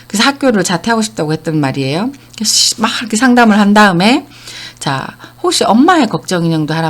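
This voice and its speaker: A woman talks in an ordinary speaking voice with lively intonation. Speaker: counseling center director and lecturer. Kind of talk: online lecture.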